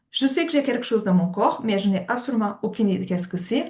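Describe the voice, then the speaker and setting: A woman speaks with lively intonation in a fairly high voice. Her voice is somewhat breathy. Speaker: occupational therapist. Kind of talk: webinar lecture.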